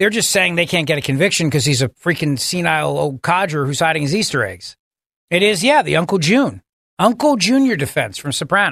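This man's voice sits fairly high and has vocal fry. Pitch swings over a very wide range. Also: fairly quick pace. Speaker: talk radio host. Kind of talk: political talk radio. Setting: studio. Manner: animated.

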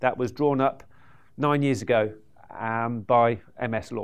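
At a moderate pace, a man with a British accent keeps a fairly even intonation against a quiet background. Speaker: podcast host and property investor. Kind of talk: stage introduction. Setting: stage with audience.

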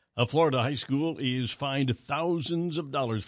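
A man with an American accent and a plain, everyday voice, medium in pitch, at a moderate pace with ordinary pitch variation, over a quiet background. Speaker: radio news host. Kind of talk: radio newscast reading headlines. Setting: radio studio broadcast.

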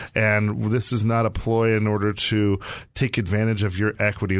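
A man with a fairly low pitch talks at a moderate pace in monotone, flat intonation. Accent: American. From Arizona. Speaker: radio host and real estate wealth manager. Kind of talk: casual chat with promotional segment. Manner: halting, repeating words.

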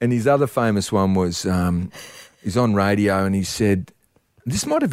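The speaker has an Australian accent, captured on a very clean recording with a silent background. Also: man. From Perth, Western Australia. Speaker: sports presenter and former footballer. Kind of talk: casual chat.

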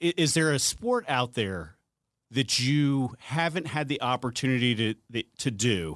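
In a very clean recording with a silent background and a dry, close sound with no echo, a man with an unremarkable speaking voice talks at a fairly slow pace, his medium pitch carrying lively intonation at very even loudness. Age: 40s. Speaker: podcast host, retired politician. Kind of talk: casual interview chat.

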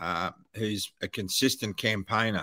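A bright, sharp voice with an Australian accent, fairly even intonation and a dry, close sound with no echo. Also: man, very clean recording, silent background. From Australia, Wollongong (New South Wales). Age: 60s. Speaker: retired airline pilot. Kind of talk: interview. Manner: halting, repeats words.

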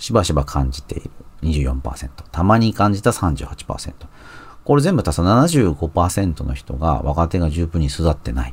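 A man with a very deep, low pitch and vocal fry speaks fairly slowly with lively intonation. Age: 40s. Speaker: magazine editor and podcast host. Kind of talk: solo commentary podcast.

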